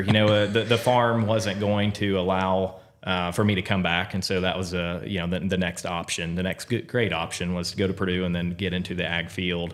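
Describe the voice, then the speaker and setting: A man's very deep, low voice with fairly even intonation. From southern Indiana, near Greensburg. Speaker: crop insurance sales leader. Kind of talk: podcast interview.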